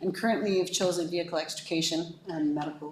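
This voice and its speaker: Over noticeable background noise and audible room echo, a woman with a fairly low pitch talks at a fairly quick pace with ordinary pitch variation. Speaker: fire services consultant. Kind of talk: presentation to council. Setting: council meeting. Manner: fast.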